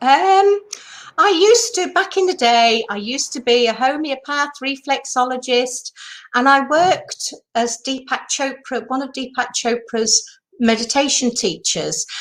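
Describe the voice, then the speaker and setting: In a British accent, a woman with a high pitch talks at a fairly slow pace with lively intonation. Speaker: retreat industry mentor. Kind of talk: interview.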